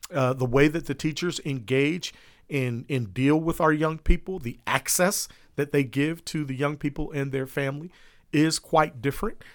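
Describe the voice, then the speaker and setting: In a very clean recording with a silent background, a man with a normal speaking voice and an American accent talks at a fairly high pitch with ordinary pitch variation. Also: moderate pace. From Columbus, Ohio. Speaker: school board member. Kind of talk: interview.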